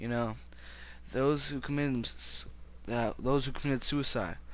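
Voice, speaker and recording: A man keeps a moderate pace while audible room echo surrounds his voice. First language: not English. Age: young. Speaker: religious video blogger. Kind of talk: personal religious monologue. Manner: halting.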